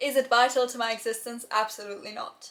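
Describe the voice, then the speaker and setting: With a German accent, a woman speaks in a monotone, flat intonation. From Germany. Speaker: YouTuber, university student. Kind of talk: Q&A vlog. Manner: casual, many filler words.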